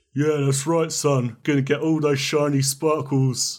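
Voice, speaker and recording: Using a put-on character voice, a man speaks at a fairly high pitch and moderate pace in a monotone, flat intonation. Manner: menacing, gruff.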